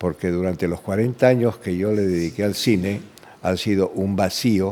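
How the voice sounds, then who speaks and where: A man's very deep, low voice with a dark, mellow tone at a fairly slow pace. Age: 80s+. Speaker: film director. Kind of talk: interview. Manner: halting, with many repetitions.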